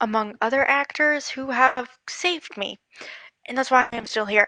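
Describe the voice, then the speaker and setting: A woman with an American accent talks at a moderate pace and a high pitch, with ordinary pitch variation, a bright, sharp tone, and a dry, close sound with no echo. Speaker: livestream guest. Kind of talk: casual chat.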